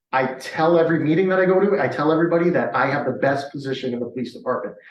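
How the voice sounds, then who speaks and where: Amid audible room echo, a man speaks at a very fast pace in an animated tone. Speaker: police sergeant. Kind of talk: community meeting presentation. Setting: public meeting with audience and Zoom.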